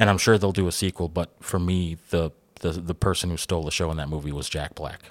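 A man's very deep, low voice at a very fast pace with fairly even intonation, on a very clean recording with a silent background. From Cuban heritage. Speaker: podcast host. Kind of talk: casual chat.

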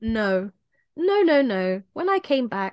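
The British-accented woman is heard in a dry, close sound with no echo against a quiet background. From England. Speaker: podcast co-host. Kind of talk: casual chat.

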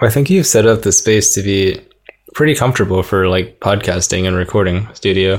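Speaking at a fairly quick pace, a man with a fairly low pitch talks in an Idaho accent. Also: ordinary pitch variation. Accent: American, Idaho. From Boise, Idaho, US. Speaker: guest, American immigrant in Finland. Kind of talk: casual interview conversation.

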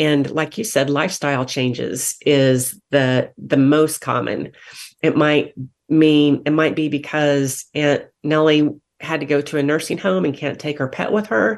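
A woman talks at a fairly slow pace. Her very deep, low pitch varies in an ordinary way. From Kansas. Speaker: animal shelter executive. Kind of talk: radio interview.

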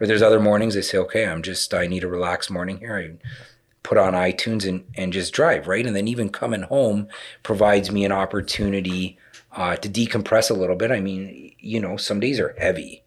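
A man with a plain, everyday voice talks at a fairly quick pace. His pitch is fairly low and his intonation fairly even. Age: 30s. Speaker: HVAC company vice president. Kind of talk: casual chat.

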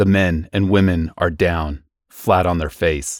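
In a very clean recording with a silent background and a dry, close sound with no echo, a man delivers a dramatic tone at a fairly slow pace with very deep, low pitch and monotone, flat intonation. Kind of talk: horror radio narration, reading aloud a classic story. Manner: tense, urgent, hushed dread, building panic; measured, dramatic.

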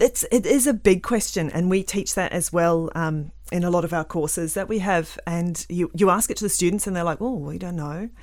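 A woman with a New Zealand accent talks at a moderate pace, her pitch fairly low with ordinary variation. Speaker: environmental scientist and author. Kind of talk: casual interview chat. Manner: hesitant with frequent fillers.

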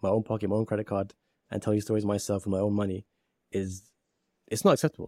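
In a British accent, a man talks at a very fast pace with a fairly low pitch, in a very clean recording with a silent background and a dry, close sound with no echo. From UK. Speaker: poet and filmmaker. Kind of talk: interview conversation.

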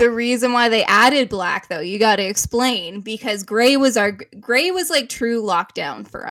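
In a Canadian accent, a woman speaks at a moderate pace with hardly any pauses, her fairly high pitch and bright, sharp tone carried by lively intonation. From Canada. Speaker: podcast co-host. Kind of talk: casual chat.

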